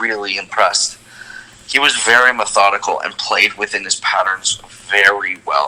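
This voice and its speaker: The talking keeps a moderate pace, and noticeable background noise can be heard. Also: man. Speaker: tennis podcast host. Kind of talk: casual chat. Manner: animated.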